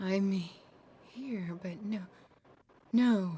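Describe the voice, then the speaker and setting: A woman puts on a character voice at a medium pitch. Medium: video game. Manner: dreamy, rambling, frightened.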